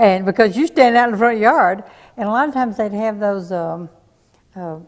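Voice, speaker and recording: In a Tennessee accent, a woman with a fairly high pitch and ordinary pitch variation speaks at a moderate pace with big swings in loudness. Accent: Southern US (Tennessee). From Smyrna, Tennessee. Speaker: local resident sharing memories. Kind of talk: oral history group conversation.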